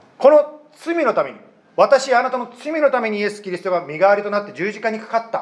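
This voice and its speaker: A man's very fast, high-pitched voice with lively intonation, big swings in loudness and noticeable background noise. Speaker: pastor. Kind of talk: sermon. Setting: church.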